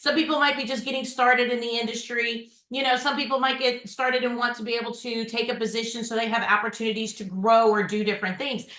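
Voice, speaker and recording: A woman speaks loudly in a Southern US accent, high in pitch with fairly even intonation. Audible room echo surrounds her voice. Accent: Southern drawl, fast but clearly pronounced. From Memphis, Iowa, Wisconsin, then Dallas from age 15. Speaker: podcast host and insurance agency owner. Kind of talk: podcast interview. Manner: fast; loud, hard consonants.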